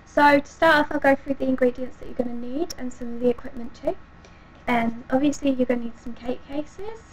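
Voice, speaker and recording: A woman speaks very fast at a high pitch. Her intonation is fairly even, with noticeable background noise behind her. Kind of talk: casual cooking tutorial talk to camera. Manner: hesitant, lots of 'um' fillers.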